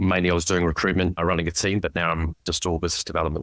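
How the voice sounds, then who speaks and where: A man with a New Zealand accent talks at a very fast pace in a very deep, low pitch. The recording is very clean with a silent background and a dry, close sound with no echo. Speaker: recruitment business development director. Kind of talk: casual interview chat.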